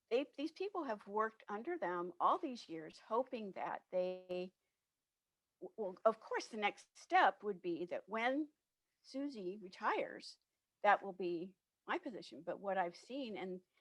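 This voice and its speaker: A woman with an unremarkable speaking voice talks at medium pitch and a fairly slow pace. Her intonation is lively, and the sound is dry and close with no echo. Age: 60s. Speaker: diversity and inclusion consultant. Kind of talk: interview.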